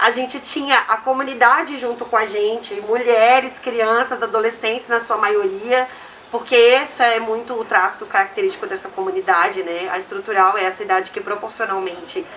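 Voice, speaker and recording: A woman's fairly high voice at a moderate pace with hardly any pauses and ordinary pitch variation, over noticeable background noise. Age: 30s. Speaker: community organization co-founder. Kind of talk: interview.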